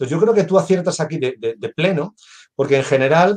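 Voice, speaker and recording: His pitch moves in an ordinary way. The speaker is a man. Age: 50s. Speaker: business consultant and engineer. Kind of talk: casual chat. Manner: halting.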